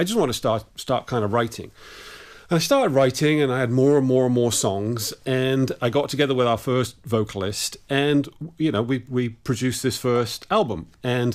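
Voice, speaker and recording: In a very clean recording with a silent background, a man with an English accent talks at a moderate pace and medium pitch, with ordinary pitch variation and very even loudness. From England. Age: 50s. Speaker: musician and sound mixer. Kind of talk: interview.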